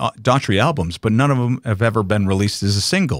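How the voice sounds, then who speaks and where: Very fast and with lively intonation, a man talks at a medium pitch with an American accent, the sound dry and close with no echo on a very clean recording with a silent background. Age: 60s. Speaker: radio DJ. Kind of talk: casual chat. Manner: animated.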